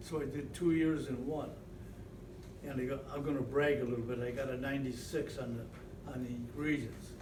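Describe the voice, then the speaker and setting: Flat, monotone intonation comes at a moderate pace, with noticeable background noise and audible room echo. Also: man, medium pitch for a man. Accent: American. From Western New York. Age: 90s. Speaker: retired football coach and teacher. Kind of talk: interview reminiscence. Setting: at old stadium. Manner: halting, many fillers and repeats.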